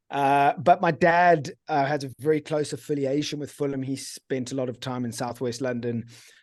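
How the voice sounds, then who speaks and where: A man with a strong British accent and a fairly high pitch at a moderate pace, fairly even in intonation, with hardly any pauses over a quiet background. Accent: pretty strong British. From England (born Guildford, Surrey). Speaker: football fan guest. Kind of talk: casual chat.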